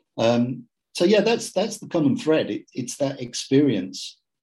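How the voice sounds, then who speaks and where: A man with a dark, mellow tone on a very clean recording with a silent background. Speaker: IT business owner. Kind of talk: interview conversation. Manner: relaxed; halting with repetitions.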